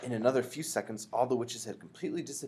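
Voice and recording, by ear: The voice sounds natural. It reads text aloud.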